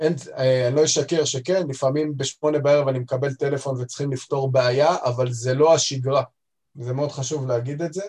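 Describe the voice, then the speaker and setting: Here a man speaks with a fairly high pitch and a somewhat breathy voice. His intonation is fairly even and his pace fairly quick. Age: 30s. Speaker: head of quality at a pharmaceutical distributor. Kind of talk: interview.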